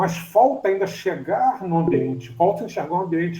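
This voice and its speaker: Audible room echo surrounds a man's dark, mellow tone. He speaks at a moderate pace. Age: 60s. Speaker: student in an online class. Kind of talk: class discussion. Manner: halting.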